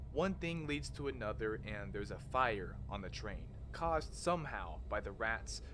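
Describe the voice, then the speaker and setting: A man's fairly low, bright and sharp voice with vocal fry, very wide pitch swings, a moderate pace and audible room echo. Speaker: horror content creator. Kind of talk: video essay narration.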